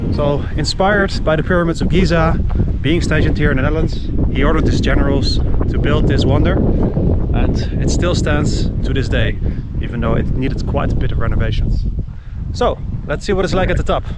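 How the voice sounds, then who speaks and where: A man talks at a fairly quick pace in a dry sound with no echo, loud background noise behind him. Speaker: travel vlogger. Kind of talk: casual vlog chat. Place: open country. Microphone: phone near.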